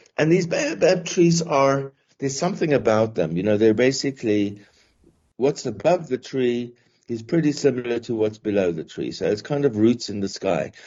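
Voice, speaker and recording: The speaker has a South African accent and lively intonation. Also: man, medium pitch for a man, moderate pace. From South Africa, Johannesburg. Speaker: professor. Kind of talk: podcast interview. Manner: halting, many repetitions and fillers.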